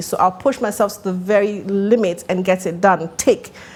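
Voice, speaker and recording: Ordinary pitch variation in a woman's speech, with noticeable background noise behind it. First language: Italian. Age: 40s. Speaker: actress and marketing entrepreneur. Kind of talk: podcast interview.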